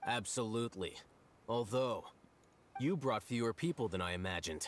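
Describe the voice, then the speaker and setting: Using a put-on character voice, a man talks at a moderate pace and a medium pitch. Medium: video game.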